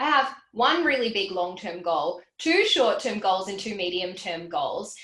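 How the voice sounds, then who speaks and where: An animated woman with an Australian accent, medium in pitch and full of very wide pitch swings, with audible room echo. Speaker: financial educator. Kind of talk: livestream Q&A. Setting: livestream. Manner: fast.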